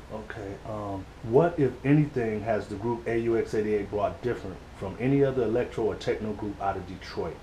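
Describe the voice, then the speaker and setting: Over light background noise, a man speaks at a moderate pace and medium pitch with ordinary pitch variation and hardly any pauses. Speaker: interviewer. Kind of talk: recorded interview. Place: home room. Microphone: camera far.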